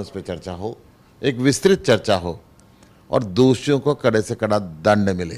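Moving at a fairly slow pace, a man speaks with very wide pitch swings. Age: 60s. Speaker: politician, member of parliament; politician. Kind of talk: interview. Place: office. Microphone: handheld.

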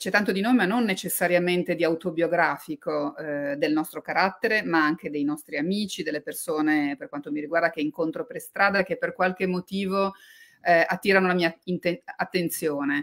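A woman with an ordinary speaking voice talks at a moderate pace and fairly low pitch, with ordinary pitch variation. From Liguria and Tuscany, Italy. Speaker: novelist and journalist. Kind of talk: book talk interview.

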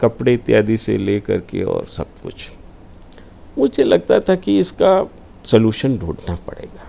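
Speaking at a very slow pace, a man's voice shows big swings in loudness. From Uttar Pradesh, Varanasi; Uttar Pradesh. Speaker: politician and party spokesperson; guest. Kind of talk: interview. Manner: formal. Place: studio. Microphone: lapel.

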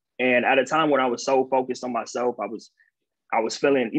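The speaker talks at a fast pace with vocal fry and a slightly husky edge. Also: man.

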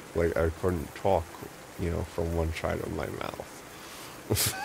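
Through noticeable background noise, a man mumbles in a put-on character voice at a very slow pace, his pitch very deep and low. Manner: mumbling.

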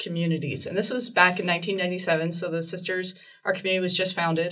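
A woman with a Canadian accent speaks at a fairly quick pace. The background is quiet. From Canada, Ontario. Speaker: religious sister. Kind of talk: interview testimony. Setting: studio. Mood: warm, joyful storytelling. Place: home room.

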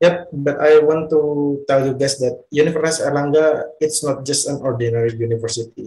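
A man with an Indonesian accent speaks at a fairly quick pace with hardly any pauses, his fairly high voice carrying a dark, mellow tone, a somewhat breathy quality, fairly even intonation and audible room echo. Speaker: student presenter. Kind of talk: presentation. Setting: video call. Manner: halting. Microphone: video call.

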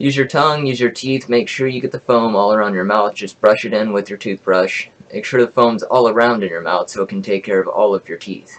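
At a fairly quick pace and with hardly any pauses, a man speaks with ordinary pitch variation. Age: 20s. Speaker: YouTuber sharing home remedy; self-made science vlogger. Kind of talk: reading from notes to camera. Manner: halting. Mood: indignant at the end. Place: home room. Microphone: webcam.

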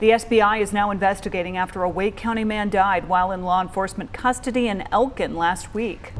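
Speaking at a very fast pace with hardly any pauses, a woman uses a medium pitch and fairly even intonation in an American accent. Music plays in the background. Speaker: TV news anchor and reporter. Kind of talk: local TV newscast anchor delivery. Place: studio. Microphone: lapel.

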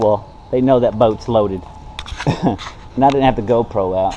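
A man talks at a moderate pace. Crowd noise carries in the background. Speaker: vlogger. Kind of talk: casual vlog chat. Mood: cheerful, laughing. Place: street. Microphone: phone near.

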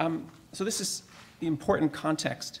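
A man is speaking. His voice has vocal fry. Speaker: academic historian. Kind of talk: academic conference talk. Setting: symposium with audience. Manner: hesitant, many fillers.

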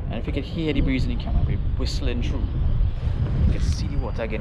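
Speech at a very fast pace comes through loud background noise. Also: man. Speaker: kayak angler vlogger. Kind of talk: casual vlog chat. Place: boat. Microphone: phone near.

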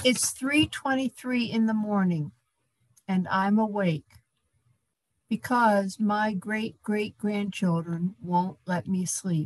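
A woman with a medium-pitched, somewhat breathy voice speaks at a very slow pace. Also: ordinary pitch variation. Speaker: activist, donor; speaker. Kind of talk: fundraising appeal. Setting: video call. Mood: earnest, urging. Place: home room. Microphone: video call.

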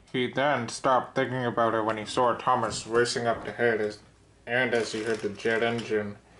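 With fairly even intonation, the speaker uses a natural reading voice.

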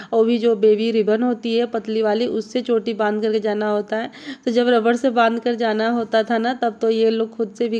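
The speaker is a woman. She keeps a moderate pace. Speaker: home cook vlogger. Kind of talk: casual vlog chat. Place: kitchen. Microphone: phone near.

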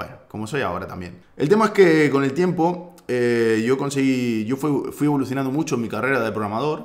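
At a fairly quick pace, a man talks with lively intonation. He leaves hardly any pauses. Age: 20s. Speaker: tech YouTuber. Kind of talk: personal vlog monologue. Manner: halting, many fillers. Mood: personal, candid story. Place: home room.

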